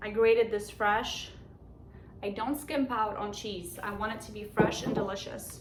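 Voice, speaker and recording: With a Polish accent, a woman speaks with ordinary pitch variation amid noticeable background noise and audible room echo. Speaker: home cook, cooking channel host. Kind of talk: cooking tutorial. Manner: casual, conversational.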